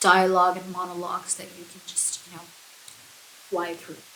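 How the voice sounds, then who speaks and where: A soft-spoken woman at a medium pitch and fairly quick pace, with audible room echo and noticeable background noise. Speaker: book vlogger. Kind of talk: casual chat. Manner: relaxed.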